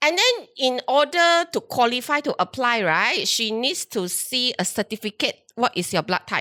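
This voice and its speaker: A woman speaks loudly at a high pitch in a bright, sharp, animated tone, with very wide pitch swings. Her pace is moderate with hardly any pauses, in a very clean recording with a silent background and a dry, close sound with no echo. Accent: Malaysian. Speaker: HR recruiter hosting a chat show. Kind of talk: casual chat.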